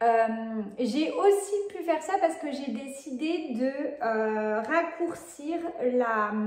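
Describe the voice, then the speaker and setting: The speaker's intonation is lively, with audible room echo and noticeable background noise. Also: woman. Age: 20s. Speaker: sewing vlogger. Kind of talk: casual vlog talk. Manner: hesitant, many filler sounds.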